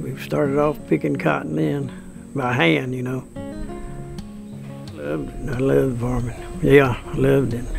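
Clear music plays behind a man with a very deep, low voice and very wide pitch swings. He keeps a moderate pace with long, frequent pauses. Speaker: farmer. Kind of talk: interview answer. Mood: calm, reminiscing. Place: farm.

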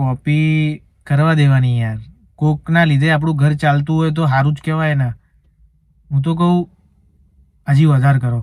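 A man with an ordinary speaking voice, fairly high pitch and fairly even intonation. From Rajasthan, Barmer. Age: 20s. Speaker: social media creator. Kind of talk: casual Q&A.

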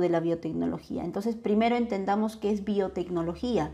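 A woman speaks in a fairly high pitch with ordinary pitch variation. Her tone is dark and mellow, and her pace is moderate. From Peru, Ica; Peru. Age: young. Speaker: biotech entrepreneur and lecturer; instructor. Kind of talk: webinar lecture. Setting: online webinar. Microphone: webcam.

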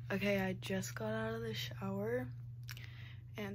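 A woman speaks in a very deep, low voice with vocal fry and lively intonation. Noticeable background noise sits behind her. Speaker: vlogger. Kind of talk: casual vlog chat. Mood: cheerful, a bit nervous. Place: home room. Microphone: phone near.

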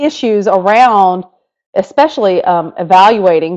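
Lively intonation carries this voice with a North Carolina accent over a quiet background. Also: woman. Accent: Southern, North Carolina. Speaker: education technology leader; webinar presenter. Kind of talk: webinar presentation. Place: home room. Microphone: webcam.

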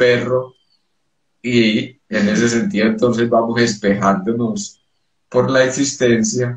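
Man at a very slow pace, somewhat breathy, ordinary pitch variation, audible room echo, quiet background. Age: 50s. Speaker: psychoanalyst and poet; psychoanalyst, poet. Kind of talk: interview. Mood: calm, spiritual explanation. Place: home room. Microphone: video call.

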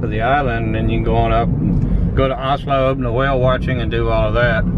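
A man at a fairly quick pace, with a dry sound with no echo and loud background noise. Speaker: travel vlogger. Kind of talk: casual travel commentary. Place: car. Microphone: camera far.

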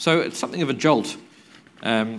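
Against light background noise, a man speaks with very wide pitch swings. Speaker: lawyer, conference panel moderator. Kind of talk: conference presentation. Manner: halting, many fillers and repetitions. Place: hall. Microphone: lapel.

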